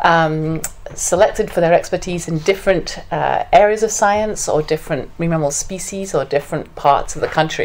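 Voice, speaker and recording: A woman speaks at medium pitch with an English accent and ordinary pitch variation. Noticeable background noise runs beneath her. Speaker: veterinarian and federal commissioner. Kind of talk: public lecture. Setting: community presentation with live audience. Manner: halting, many fillers.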